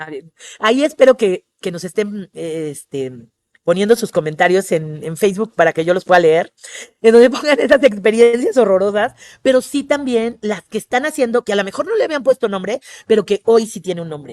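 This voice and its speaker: Her voice medium in pitch, a woman speaks in an animated tone with very wide pitch swings and big swings in loudness, the sound dry and close with no echo. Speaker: tourism trainer. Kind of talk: webinar lecture. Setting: online webinar. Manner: fast.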